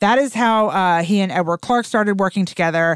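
Recorded very cleanly against a silent background, a woman speaks at a medium pitch with lively intonation, the sound dry and close with no echo. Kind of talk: casual storytelling chat. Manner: animated, conversational.

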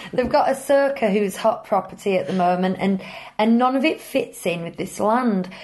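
A woman's fairly high voice with a British accent, lively intonation and a moderate pace. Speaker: podcast host. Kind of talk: casual chat. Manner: halting, many fillers.

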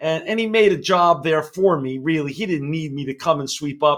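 On a very clean recording with a silent background, a man with an American accent talks in an energetic tone. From New York City (Queens). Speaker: business executive. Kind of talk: interview.

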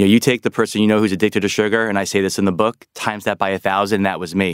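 In a New York accent, a man with a fairly low pitch talks in a monotone, flat intonation, the sound dry and close with no echo. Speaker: health author. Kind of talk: interview. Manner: fast.

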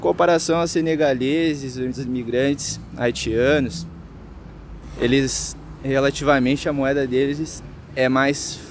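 Amid noticeable background noise, a man speaks at a medium pitch with ordinary pitch variation. He goes at a fairly slow pace, with long, frequent pauses. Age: 20s. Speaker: local resident, street interviewee. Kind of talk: vox pop interview.

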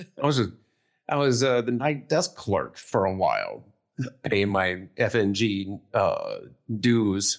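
A man with an American accent speaks at a very slow pace, keeping his loudness very even. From US Midwest, northeast Ohio. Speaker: war veteran. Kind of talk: interview.

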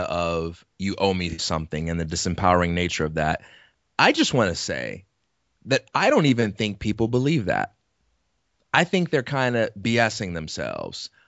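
A man's voice swings very widely in pitch. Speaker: podcast co-host. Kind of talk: casual chat.

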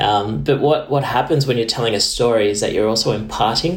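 At a very fast pace, a man with a fairly low pitch talks over noticeable background noise. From Australia. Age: 30s. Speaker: diplomat. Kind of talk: interview. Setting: video call.

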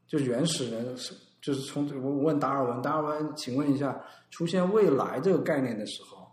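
A man's fairly high voice at a fairly quick pace, with big swings in loudness and audible room echo. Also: ordinary pitch variation. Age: 30s. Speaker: designer and design consultant. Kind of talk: casual chat.

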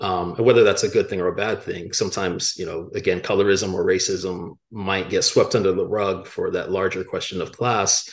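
A man with an American accent talks at a moderate pace over a quiet background. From Miami, Florida. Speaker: author. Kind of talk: interview. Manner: halting, frequent fillers.

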